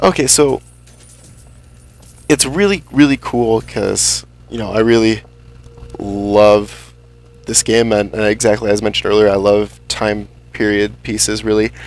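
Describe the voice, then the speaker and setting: With noticeable background noise behind him, a man with a fairly low pitch speaks at a fairly slow pace with fairly even intonation and long, frequent pauses. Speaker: let's play gamer. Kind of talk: gameplay commentary. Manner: halting, many repetitions.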